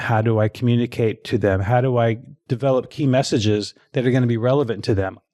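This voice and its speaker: A man's unremarkable speaking voice at a medium pitch, with a fairly quick pace and fairly even intonation. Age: 60s. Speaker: fitness marketing expert and author. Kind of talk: casual interview chat.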